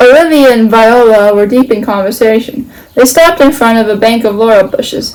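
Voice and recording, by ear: The passage is read aloud in a natural voice.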